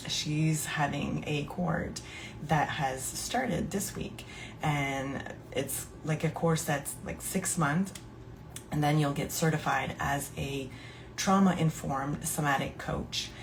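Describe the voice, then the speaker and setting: A woman speaks at a very slow pace in a very deep, low pitch. Her intonation is fairly even, and audible room echo surrounds her. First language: French. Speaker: podcast host and somatic coach. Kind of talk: casual live podcast monologue. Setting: live stream. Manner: hesitant, many fillers.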